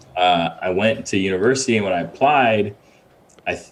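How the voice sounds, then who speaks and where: Noticeable background noise runs under this recording. A man with an American accent speaks at a moderate pace. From Ghana, then Connecticut, USA. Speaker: visual effects supervisor and director. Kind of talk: interview. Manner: casual, with many fillers.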